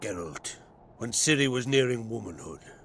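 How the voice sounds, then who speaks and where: Using a put-on character voice, a raspy man talks at a moderate pace with medium pitch and lively intonation. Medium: video game. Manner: warm, measured, plain-spoken.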